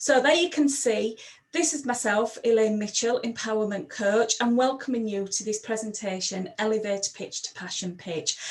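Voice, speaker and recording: In a Sheffield accent, a woman speaks at a moderate pace with hardly any pauses. Her pitch is fairly high with ordinary variation, and background noise is noticeable. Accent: broad Sheffield Yorkshire. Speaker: empowerment coach. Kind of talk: presentation.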